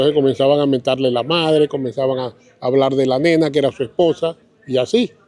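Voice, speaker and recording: Moving at a fairly quick pace, a man speaks at a fairly high pitch with a dark, mellow tone and fairly even intonation. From Colombia, Caribbean coast (Riohacha, La Guajira). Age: 70s. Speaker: local elder sharing memories. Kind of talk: interview, reminiscing. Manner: halting, with repeated words.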